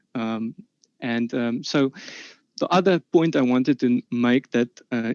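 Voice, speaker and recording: A man with a South African accent at medium pitch, in a dry, close sound with no echo. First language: Afrikaans. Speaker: debater. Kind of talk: formal debate statement. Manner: halting, many fillers.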